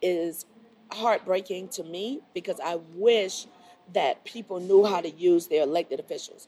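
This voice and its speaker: A woman with an unremarkable speaking voice talks at a medium pitch. Her pace is moderate. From Miami, Florida. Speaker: city council member. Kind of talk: group discussion.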